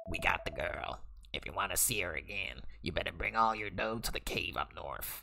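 A man puts on a character voice and talks fairly quickly. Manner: menacing.

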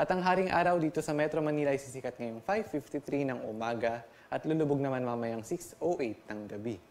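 At a moderate pace, a man talks with hardly any pauses. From Philippines. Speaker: weather forecaster. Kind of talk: Filipino weather bulletin, forecast briefing mixing Tagalog with English terms. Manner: steady explanatory delivery with occasional restarts and fillers; informative, methodical, reads out regional temperatures in sequence. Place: studio.

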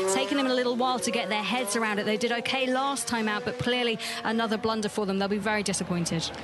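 Against clear background music, a woman with a fairly high pitch talks very fast, with hardly any pauses, fairly even intonation and very even loudness, in a dry sound with no echo. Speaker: pit-lane reporter and analyst; pit-lane reporter, analyst. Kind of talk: live race commentary; sports commentary.

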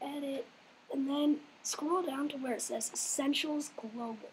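A woman talks at a fairly slow pace with a high pitch and fairly even intonation. Noticeable background noise runs behind her. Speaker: game server tutorial maker. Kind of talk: casual screen-recorded tutorial. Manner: hesitant, apologetic.

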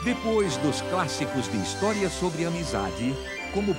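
The pitch swings very widely as music plays in the background. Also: man. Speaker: voice-over announcer. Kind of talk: movie trailer.

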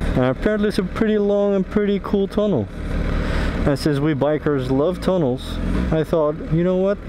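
Moderate pace against noticeable background noise. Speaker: motovlogger. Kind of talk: casual vlog chat. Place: motorbike. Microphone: helmet.

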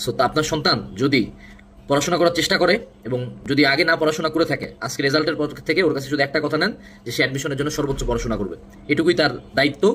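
A plain, everyday voice from a man, fairly high in pitch, with ordinary pitch variation. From Bangladesh, Dinajpur region. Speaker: admission coach. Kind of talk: motivational talk.

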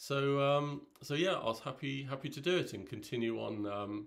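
The surroundings are quiet. The voice belongs to a man. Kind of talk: casual vlog chat. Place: home room. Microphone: phone near.

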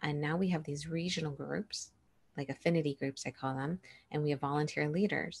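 A somewhat breathy woman with an American accent, very deep, low pitch, fairly even intonation and a fairly quick pace, over a quiet background. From US Midwest, Chicago North Shore suburbs; Illinois. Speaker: pediatric dentist; guest. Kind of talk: interview. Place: home room. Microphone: earbuds.

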